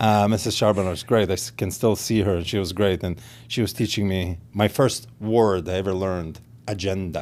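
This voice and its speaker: A man with an Israeli accent speaks at a moderate pace and a very deep, low pitch with ordinary pitch variation. The recording is very clean, with a silent background. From Israel, then Los Angeles from age 13. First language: Hebrew. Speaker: realtor and pitmaster. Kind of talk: casual interview.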